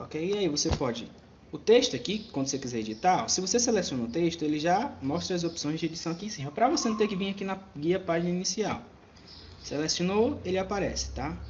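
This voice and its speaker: A high-pitched man talks at a very fast pace. His intonation is lively. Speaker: computer teacher. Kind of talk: tutorial.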